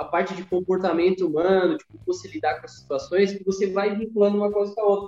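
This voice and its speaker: This is a man speaking. His pitch is high. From Santa Catarina, southern Brazil (Criciúma). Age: 20s. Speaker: running coach and former athlete. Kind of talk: podcast interview.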